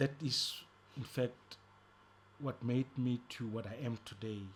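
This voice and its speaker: The voice is somewhat breathy, with fairly even intonation and a fairly slow pace. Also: man. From South Africa, East Rand (Gauteng). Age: 60s. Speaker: ex-offender and prisoner rights activist. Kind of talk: interview testimony.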